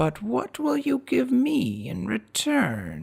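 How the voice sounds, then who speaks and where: In a put-on character voice, a man speaks very slowly with a raspy sound. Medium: read story.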